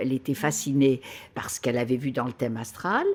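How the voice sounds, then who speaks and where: Her pitch is very deep and low for a woman. She talks at a fairly quick pace. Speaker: clairvoyant. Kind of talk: interview answer. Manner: enthusiastic, laughing.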